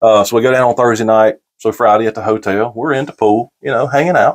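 A man with a North Carolina accent, over a quiet background. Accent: Southern US (North Carolina). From US South, Gaston County, North Carolina. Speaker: podcast guest. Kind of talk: casual chat. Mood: warm, reflective storytelling. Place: home room. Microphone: lapel.

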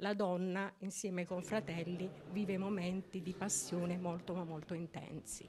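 Flat, monotone intonation marks this woman's medium-pitched voice. She speaks at a fairly slow pace. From Taranto, Apulia, Italy; Apulia, Italy. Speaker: lay sister of a brotherhood. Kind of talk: interview. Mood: earnest, devotional. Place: church. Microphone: handheld.

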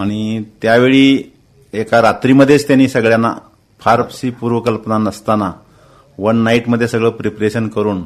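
Fairly even in intonation, a man speaks at a medium pitch in an ordinary speaking voice. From Miraj taluka, Sangli, Maharashtra, India. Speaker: air force veteran. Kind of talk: radio interview. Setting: studio.

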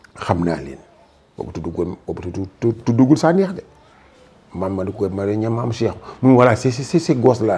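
The voice moves at a fairly slow pace with long, frequent pauses. Its pitch swings very widely and its loudness rises and falls in big swings. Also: man. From Senegal, Thiès. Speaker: actor and retired teacher. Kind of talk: interview. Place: home room. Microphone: lapel.

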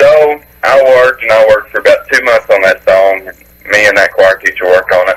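A man's bright, sharp tone at a moderate pace, with fairly even intonation

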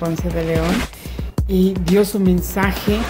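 A woman at a very slow pace with clear music in the background. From Chiapas, Mexico. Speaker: radio announcer. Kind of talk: interview answer. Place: garden.

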